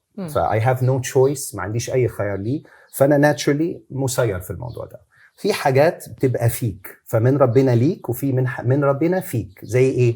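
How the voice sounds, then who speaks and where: On a very clean recording with a silent background, a man speaks at a moderate pace and medium pitch, his dark, mellow voice somewhat breathy with ordinary pitch variation. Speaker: Islamic preacher. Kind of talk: interview answer.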